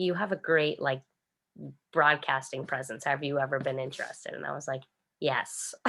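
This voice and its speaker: A woman with a Boston accent speaks fairly quickly, her very deep, low pitch paired with a bright, sharp tone. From Boston area, Massachusetts (Quincy). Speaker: radio personality. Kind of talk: interview. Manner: casual, not carefully articulated.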